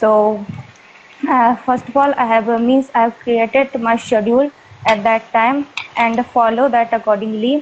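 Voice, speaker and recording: A woman with an Indian accent, a fairly high pitch, monotone, flat intonation, very even loudness and a moderate pace. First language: Hindi. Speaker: student with campus placement. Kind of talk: interview. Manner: halting, many fillers.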